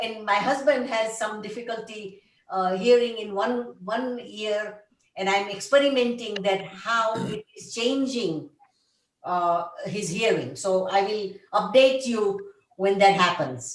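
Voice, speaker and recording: Audible room echo surrounds a woman speaking at a fairly high pitch and a fairly slow pace, with ordinary pitch variation and big swings in loudness. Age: 70s. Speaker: conference participant. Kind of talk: group video call discussion. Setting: video call.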